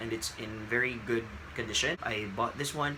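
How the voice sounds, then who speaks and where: A man with a Filipino accent, moderate pace and ordinary pitch variation, plus noticeable background noise. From Philippines. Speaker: book vlogger. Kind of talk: casual vlog. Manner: hesitant, with fillers.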